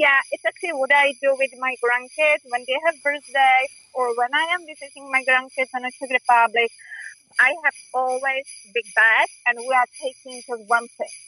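The voice is raised and projected, with a bright, sharp tone. Its intonation stays fairly even. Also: woman, high pitch for a woman, moderate pace. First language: not English. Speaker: rideshare driver. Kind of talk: phone interview. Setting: phone call.

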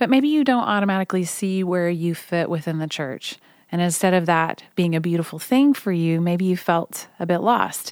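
A woman with lively intonation, a fairly low pitch and a moderate pace. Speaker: podcast host and worship artist. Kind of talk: devotional monologue. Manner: soft-spoken.

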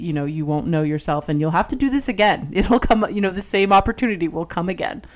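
A woman at medium pitch, animated in tone, with lively intonation and a very fast pace. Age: 40s. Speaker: podcast co-host. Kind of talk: casual chat.

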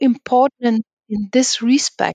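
An unremarkable speaking voice from a woman, fairly high in pitch, with ordinary pitch variation. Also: dry, close sound with no echo. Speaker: podcast host. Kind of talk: interview.

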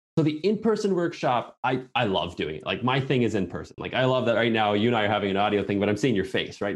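Against a quiet background, a man with a Canadian accent talks at a very fast pace with lively intonation. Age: 30s. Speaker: permaculture teacher. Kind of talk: interview.

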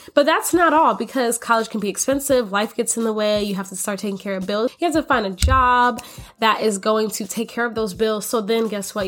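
Lively in intonation, a woman with an American accent speaks in a plain, everyday voice at a fairly high pitch. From US Florida. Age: 20s. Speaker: podcast host, college student and daycare teacher. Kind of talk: casual podcast intro. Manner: upbeat, chatty.

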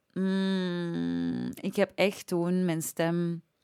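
The recording is very clean against a silent background. The speaker is a woman with a medium pitch. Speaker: singer, singing teacher and voice-over. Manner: chatty, informal.

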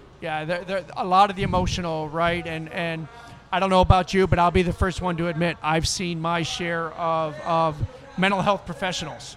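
Someone speaks in an American accent at a moderate pace, with a flat monotone. There is noticeable background noise. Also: man, high pitch for a man. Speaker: veteran and corporate veterans group leader. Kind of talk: casual interview chat. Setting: outdoors at a charity event.

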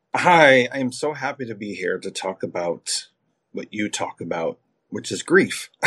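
A man at medium pitch speaks at a moderate pace with vocal fry and very wide pitch swings, in a dry, close sound with no echo. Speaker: creativity coach and singer. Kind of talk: casual interview.

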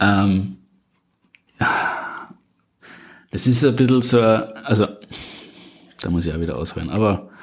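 A man speaks with a slight Austrian accent at a fairly low pitch. He goes very slowly, with long, frequent pauses. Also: ordinary pitch variation. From Upper Austria. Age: 20s. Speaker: podcast guest, single in advertising. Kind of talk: casual interview chat. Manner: halting, repeats words.

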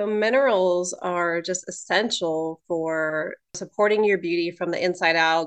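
Fairly level intonation runs through the speech at a medium tempo. It is an unremarkable speaking voice. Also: woman. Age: 30s. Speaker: holistic nutritionist and cosmetologist. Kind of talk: casual chat.

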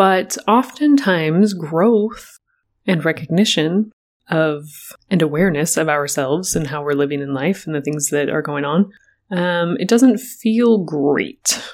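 In a very clean recording with a silent background, a plain, everyday voice moves at a fairly slow pace with lively intonation. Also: woman, fairly low pitch for a woman. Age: 30s. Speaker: podcast host. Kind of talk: solo reflective monologue.

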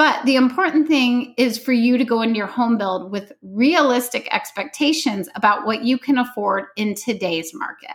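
A plain, everyday voice belongs to a woman with an American accent who speaks at a moderate pace, fairly high in pitch, with lively intonation. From US Midwest. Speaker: podcast host, home design blogger. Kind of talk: solo podcast tutorial.

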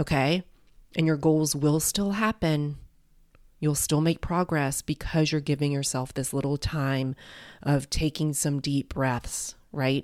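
Over a silent background in a very clean recording, a woman with a very deep, low pitch speaks at a fairly slow pace with very even loudness and fairly even intonation. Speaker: podcast host and life coach. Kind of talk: gentle motivational pep talk addressed directly to the listener. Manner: warm, reassuring, encouraging like a friendly cheerleader; casual and chatty with frequent filler words.

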